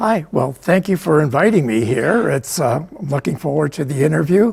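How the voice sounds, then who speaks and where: Somewhat breathy American-accented man, his pitch fairly high, his intonation lively, at a moderate pace. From US Midwest, Chicago area. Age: 80s+. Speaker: book author and photographer. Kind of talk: interview. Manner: hesitant, many fillers.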